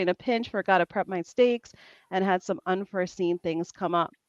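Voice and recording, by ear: A woman with a New Jersey accent, lively intonation and a fairly quick pace, against a quiet background. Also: dry, close sound with no echo.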